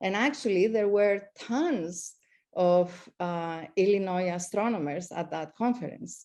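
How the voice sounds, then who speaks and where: Against a quiet background, a dark, mellow voice with a slight Greek accent speaks at a fairly slow pace with ordinary pitch variation. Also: woman, medium pitch for a woman. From Greece. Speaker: astronomy professor. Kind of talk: speech. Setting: video call. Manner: halting.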